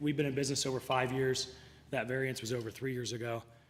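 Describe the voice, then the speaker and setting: A man's voice, pitched at a medium level, carries audible echo from the room. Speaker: business owner. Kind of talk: public comment at council meeting. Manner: frequent throat clearing.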